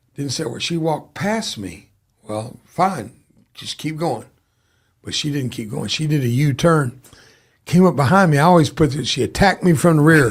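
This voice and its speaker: Somewhat breathy and in a Southern US accent, the voice has lively intonation, big swings in loudness and a moderate pace on a very clean recording with a silent background. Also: man, fairly high pitch for a man. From US South. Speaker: war veteran. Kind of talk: interview testimony.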